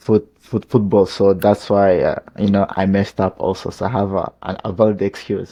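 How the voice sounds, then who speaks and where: With a non-native accent, a man of fairly low pitch speaks in a monotone, flat intonation at a moderate pace. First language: not English. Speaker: football YouTuber reacting to a video. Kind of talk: casual reaction commentary. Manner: halting, many restarts and fillers.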